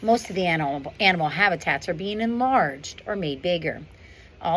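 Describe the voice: Just plain reading aloud.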